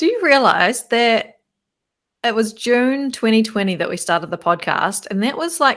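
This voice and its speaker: A woman with a normal speaking voice talks at a moderate pace, fairly high in pitch with lively intonation. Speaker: podcast co-host. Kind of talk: casual podcast chat.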